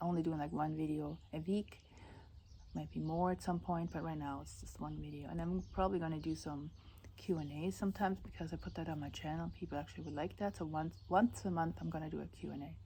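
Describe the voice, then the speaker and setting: Speaking with a non-native accent, a woman talks at a fairly quick pace. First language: not English. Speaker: vlogger. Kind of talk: casual vlog talk. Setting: outdoors at house sit. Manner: halting, with restarts.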